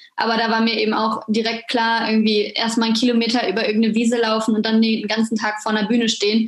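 A woman's fairly high, monotone, flat delivery at a very fast pace, with very even loudness and noticeable background noise. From western Germany, near Düsseldorf. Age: 20s. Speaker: psychology graduate student, wheelchair user. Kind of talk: interview.

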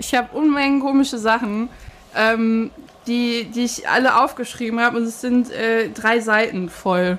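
Noticeable background noise sits behind a woman's fairly high voice. She speaks fairly slowly with fairly even intonation. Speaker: podcast co-host. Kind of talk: casual chat. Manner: soft-spoken.

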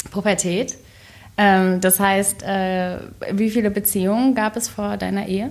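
At a fairly slow pace and medium pitch, a woman speaks with monotone, flat intonation in a very clean recording with a silent background. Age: 30s. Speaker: podcast co-presenter interviewing the host. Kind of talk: casual interview.

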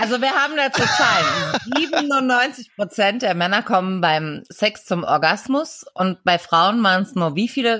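At a fairly slow pace with hardly any pauses, a woman speaks fairly high, with very wide pitch swings and very even loudness. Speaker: podcast co-host. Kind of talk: casual chat.

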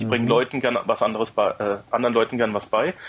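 A man at medium pitch talks at a very fast pace. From Germany. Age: 30s. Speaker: podcaster, former soldier. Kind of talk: casual interview chat.

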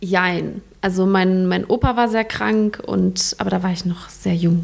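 Delivered at a fairly slow pace, the voice has a slightly mellow tone, some vocal fry, and fairly even intonation. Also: woman, fairly low pitch for a woman.

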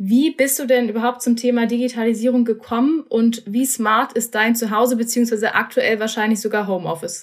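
Talking at a fairly quick pace with hardly any pauses, a woman with an ordinary speaking voice has a fairly high pitch, fairly even intonation, and very even loudness. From Berlin. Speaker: podcast host. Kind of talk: interview; scripted intro. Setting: remote recording.

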